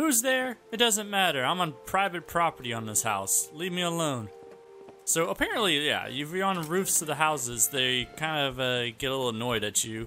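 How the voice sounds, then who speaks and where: Over music in the background, a man with a fairly high pitch speaks at a moderate pace, his pitch swinging very widely. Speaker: gaming YouTuber. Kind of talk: casual gameplay commentary.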